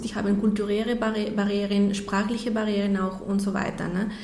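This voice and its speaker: A woman with a Spanish accent speaks at a medium pitch. Noticeable background noise and audible room echo surround her voice. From Mexico. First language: Spanish (speaking German). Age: 30s. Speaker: nonprofit president. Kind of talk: radio interview. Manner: halting, repeats words.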